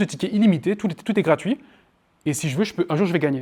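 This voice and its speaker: Loud and high-pitched, a man talks with lively intonation. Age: 20s. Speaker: marketing trainer. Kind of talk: workshop lecture with Q&A. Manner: fast.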